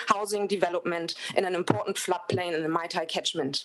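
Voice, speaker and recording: A woman with a German accent talks at a fairly quick pace with ordinary pitch variation. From Germany. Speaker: public submitter. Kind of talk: public submission.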